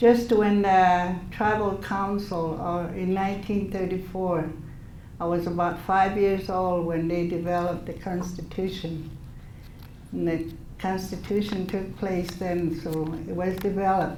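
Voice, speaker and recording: Audible room echo carries a woman's medium-pitched voice. She speaks at a fairly slow pace, monotone and flat. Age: 70s. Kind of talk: speech to an audience. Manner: halting.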